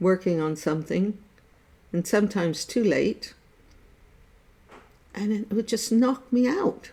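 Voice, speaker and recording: Speaking at a fairly slow pace with long, frequent pauses, a woman with an American accent uses a medium pitch, lively intonation and a dark, mellow, somewhat breathy tone. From USA. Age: 70s. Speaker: artist sharing life stories. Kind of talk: casual chat. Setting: Facebook live stream.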